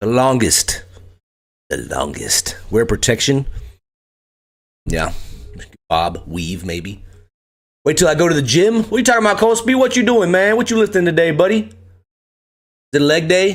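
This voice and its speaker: This man talks at a moderate pace in a high pitch for a man, his pitch swinging very widely between long, frequent pauses. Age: 30s. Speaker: streamer and retiring military member. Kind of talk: casual live stream chat. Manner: animated.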